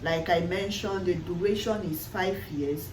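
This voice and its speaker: A woman with a Nigerian accent, fairly low-pitched and lively in intonation, at a moderate pace over noticeable background noise. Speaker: nursing student. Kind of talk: casual talk to camera.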